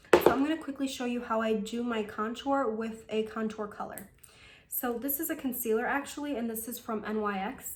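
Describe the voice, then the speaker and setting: A fairly high-pitched woman's voice with audible room echo. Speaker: beauty vlogger. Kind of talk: makeup tutorial. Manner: casual, chatty; fast.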